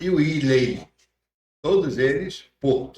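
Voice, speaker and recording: This man speaks at a very slow pace with ordinary pitch variation. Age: 70s. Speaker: pastor. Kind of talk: casual interview. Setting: church podcast studio.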